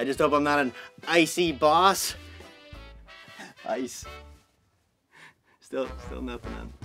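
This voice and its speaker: In a put-on character voice, a raspy man speaks at a fairly high pitch and a fairly slow pace, with long, frequent pauses, big swings in loudness, and faint music playing in the background. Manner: punning, eager, jittery.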